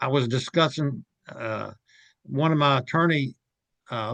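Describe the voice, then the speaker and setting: A man speaks at a very slow pace in an American accent, his pitch medium and his intonation fairly even. The sound is dry and close with no echo, over a quiet background. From West Virginia (Fayette County). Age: 70s. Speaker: author and lawyer. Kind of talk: interview. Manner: halting.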